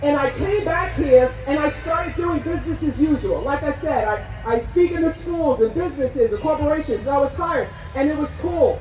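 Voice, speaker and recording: Over music in the background, a woman with an American accent talks in an animated tone at a high pitch. Her intonation is lively, her pace moderate, with hardly any pauses. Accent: New Jersey, comes out in long talk. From New Jersey. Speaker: rally emcee and motivational speaker. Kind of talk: rally speech to a crowd. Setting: outdoor rally with audience.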